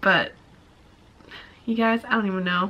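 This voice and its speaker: A woman of medium pitch speaks with ordinary pitch variation over noticeable background noise. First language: Mandarin. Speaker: vlogger. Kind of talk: casual chat.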